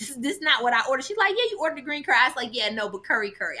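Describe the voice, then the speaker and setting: A woman's voice comes across with an animated tone and a bright, sharp quality. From Jamaican background. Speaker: vegan content creator. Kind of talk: casual chat.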